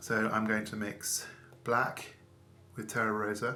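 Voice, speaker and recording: There is audible room echo around a man's medium-pitched voice. He speaks at a fairly slow pace. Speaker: painting tutor. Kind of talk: tutorial.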